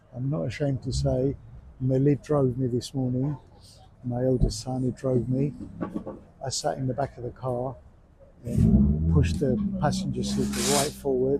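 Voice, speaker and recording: Against noticeable background noise, a man talks at a moderate pace with long, frequent pauses. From Cyprus. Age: 60s. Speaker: amateur rally driver. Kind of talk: casual interview.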